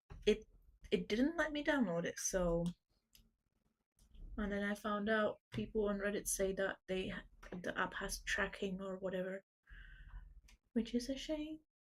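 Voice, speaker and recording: A woman speaks quietly at a medium pitch with ordinary pitch variation. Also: long, frequent pauses. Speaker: artist streaming drawing. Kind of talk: casual livestream chat. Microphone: too quiet, volume maxed.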